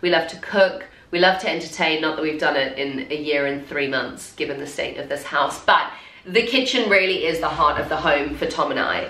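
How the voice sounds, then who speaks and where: In a room with audible echo, a woman with a fairly low voice talks at a fairly quick pace with lively intonation. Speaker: home renovation vlogger. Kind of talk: casual vlog chat. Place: home room.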